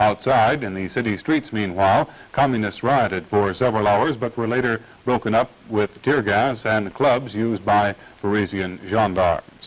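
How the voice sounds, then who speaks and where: With an ordinary speaking voice, a man of fairly low pitch talks at a moderate pace with ordinary pitch variation. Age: 20s. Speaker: news anchor. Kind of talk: TV news broadcast read.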